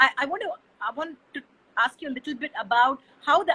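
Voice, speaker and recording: The speaker has a Tamil accent and a moderate pace. The sound is dry and close with no echo, and pitch varies in an ordinary way. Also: woman. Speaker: interviewer. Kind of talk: interview.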